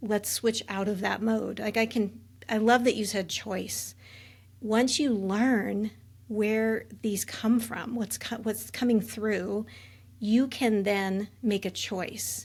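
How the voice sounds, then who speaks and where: A woman speaks very slowly in a fairly high, somewhat breathy voice with monotone, flat intonation. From Alaska, Juneau. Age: 50s. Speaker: military veteran and trauma coach. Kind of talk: interview.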